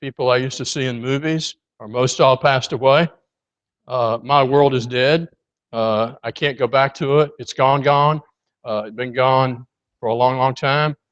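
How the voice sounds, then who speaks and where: Over a quiet background, a man speaks at a moderate pace and a medium pitch with fairly even intonation and big swings in loudness, in a dry, close sound with no echo. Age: 60s. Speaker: preacher. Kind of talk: sermon. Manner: conversational, with frequent hesitations.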